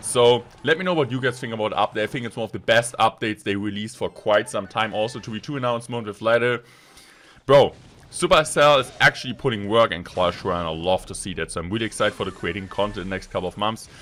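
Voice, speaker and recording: A man with a German accent at a very fast pace, medium pitch and ordinary pitch variation, on a very clean recording with a silent background. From Germany. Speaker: gaming YouTuber. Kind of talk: gameplay commentary. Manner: animated.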